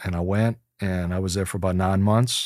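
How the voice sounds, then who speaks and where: A man's fairly low, monotone voice with flat intonation at a moderate pace, on a very clean recording with a silent background. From New Orleans, Louisiana (Chalmette). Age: 30s. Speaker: bass player and music booking agent. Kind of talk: casual interview.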